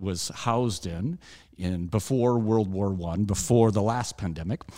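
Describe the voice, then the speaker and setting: Speaking at a fairly slow pace with an American accent, a man has a dark, mellow tone, a fairly low pitch and ordinary pitch variation. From Alabama, US South. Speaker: puppeteer and festival founder. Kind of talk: interview. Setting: studio. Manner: halting.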